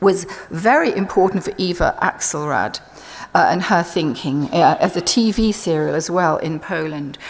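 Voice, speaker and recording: Over noticeable background noise, a woman talks at a fairly low pitch with ordinary pitch variation. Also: moderate pace. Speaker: art historian. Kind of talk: conference lecture.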